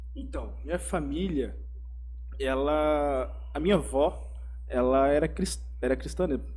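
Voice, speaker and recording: Very deep and low in pitch, a man speaks fairly slowly and somewhat breathily with monotone, flat intonation and long, frequent pauses, with audible room echo around him. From Brazil, Mato Grosso do Sul (Campo Grande). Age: 20s. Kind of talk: casual interview, personal testimony. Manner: casual, slangy.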